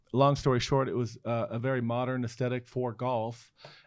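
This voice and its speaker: The background is quiet. A man at medium pitch speaks at a fairly quick pace. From Oregon, US (born in South Korea, adopted at seven months). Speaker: brand design executive. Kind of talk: casual interview.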